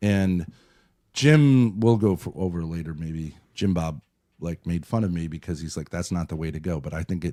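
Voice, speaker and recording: A man speaks at a moderate pace in a very deep, low voice with a dark, mellow tone, ordinary pitch variation, big swings in loudness and long, frequent pauses. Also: very clean recording, silent background. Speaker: streamer reviewing his call-in to a show. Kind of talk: casual chat.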